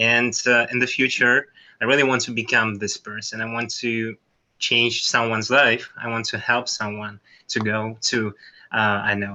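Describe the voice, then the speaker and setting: Monotone, flat intonation from a man at medium pitch, with a non-native accent. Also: moderate pace. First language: not English. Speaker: workshop participant. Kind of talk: group discussion. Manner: halting.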